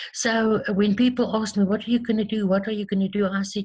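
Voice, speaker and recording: Recorded very cleanly against a silent background, a woman with a South African accent speaks at a moderate pace, somewhat breathy, with ordinary pitch variation. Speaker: tapping therapy practitioner. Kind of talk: interview. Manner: hesitant, many fillers and repeats.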